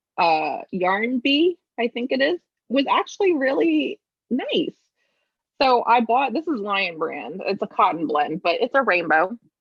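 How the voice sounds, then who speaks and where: A woman with an American accent talks at a fairly slow pace. Her fairly high voice makes very wide pitch swings. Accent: New York accent, shows when angry. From New York. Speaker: knitting podcast co-host. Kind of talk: casual chat.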